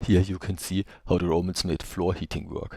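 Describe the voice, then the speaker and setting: In a non-native accent, a man with a very deep, low voice talks at a fairly quick pace, the sound dry and close with no echo. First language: not English. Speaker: travel video narrator. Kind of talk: unscripted voice-over commentary.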